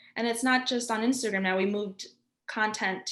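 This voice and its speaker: Her pitch sits fairly high, with ordinary variation. The woman talks at a moderate pace in a New York accent. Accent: New York American English. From New York, US. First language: Spanish. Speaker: graphic designer. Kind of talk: interview. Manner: energetic.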